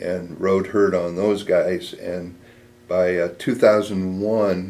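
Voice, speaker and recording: In a US Midwestern accent, a man with a very deep, low voice speaks in a monotone, flat intonation. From Nebraska, US Midwest. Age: 70s. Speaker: war veteran. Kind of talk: oral history interview.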